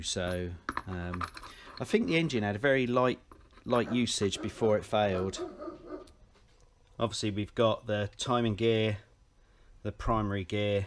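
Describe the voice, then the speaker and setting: The delivery moves at a moderate pace with ordinary pitch variation, and there is noticeable background noise. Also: man. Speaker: motorcycle engine mechanic. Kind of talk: tutorial.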